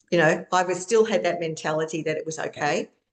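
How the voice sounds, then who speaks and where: A woman speaks with an Australian accent. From Australia (Queensland). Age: 60s. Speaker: author and trauma coach. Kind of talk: interview testimony. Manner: halting.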